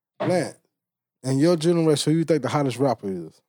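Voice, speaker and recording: In a dry, close sound with no echo, a man with a dark, mellow tone talks at a very fast pace with ordinary pitch variation. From Louisiana (Bastrop). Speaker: podcast host. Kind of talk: casual interview.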